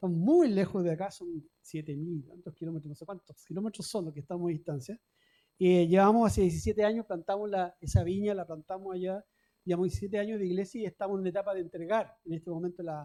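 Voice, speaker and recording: Very fast speech in a Chilean accent. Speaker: pastor. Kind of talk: sermon.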